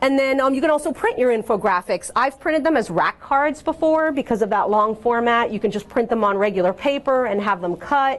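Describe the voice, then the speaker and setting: Her voice is high-pitched, with lively intonation. The woman talks at a fairly quick pace with hardly any pauses. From Cuban-American background. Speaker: workshop presenter on communications. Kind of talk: presentation to an audience. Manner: fast; casual, many fillers.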